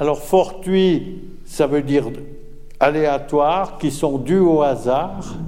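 Amid noticeable background noise and audible room echo, a man with a fairly high pitch speaks at a very slow pace, with fairly even intonation and very even loudness. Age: old. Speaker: retired physics professor. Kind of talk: public lecture. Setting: stage with audience.

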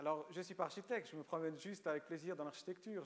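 A man speaks with a Romanian accent. His pitch is fairly high, with ordinary variation. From Switzerland, Lausanne (Vaud), born in Romania. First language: Romanian (speaking French). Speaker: writer. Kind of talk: public lecture.

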